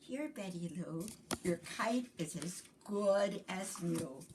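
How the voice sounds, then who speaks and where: Using a put-on character voice, a woman speaks at a very slow pace and medium pitch. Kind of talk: bedtime story. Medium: read story.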